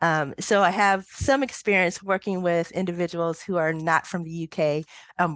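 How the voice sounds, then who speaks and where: A normal speaking voice from a woman, fairly low in pitch, at a moderate pace with ordinary pitch variation, dry and close with no echo against a quiet background. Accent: American. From United States. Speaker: statistician. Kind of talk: interview. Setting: podcast recording.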